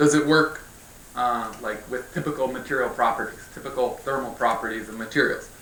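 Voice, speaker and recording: Pitch shifts in an ordinary way as a man talks. There is audible echo from the room. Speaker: physics researcher. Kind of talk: scientific lecture. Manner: fast. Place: hall.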